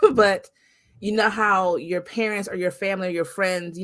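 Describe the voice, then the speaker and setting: In a very clean recording with a silent background, a woman with a normal speaking voice and medium pitch talks at a moderate pace. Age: 40s. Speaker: podcast host. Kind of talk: interview.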